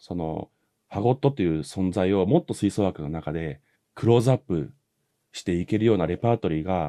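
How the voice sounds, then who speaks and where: Over a quiet background, a man speaks at a moderate pace with lively intonation, his very deep, low pitch carrying a dark, mellow tone. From Japan, Sado Island (Niigata); Niigata, Japan. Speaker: trumpet player; guest. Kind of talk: casual interview chat. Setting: video call. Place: home room. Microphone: video call.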